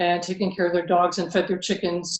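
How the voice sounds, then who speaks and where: This woman has medium pitch, an American accent, and an ordinary speaking voice. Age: 60s. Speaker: house sitter and artist. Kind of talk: interview. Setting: video call. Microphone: weak video connection.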